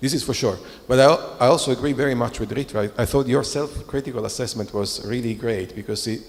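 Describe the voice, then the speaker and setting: A man with a non-native accent at a medium pitch, very fast pace and ordinary pitch variation, over noticeable background noise. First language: not English. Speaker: semiotics scholar. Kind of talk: panel discussion. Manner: halting.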